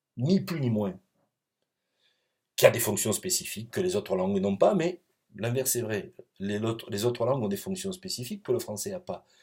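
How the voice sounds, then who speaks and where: A man's somewhat breathy voice at medium pitch and moderate pace, with very wide pitch swings and long, frequent pauses. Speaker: professor. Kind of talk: recorded lecture. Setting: pre-recorded video. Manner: hesitant, many fillers.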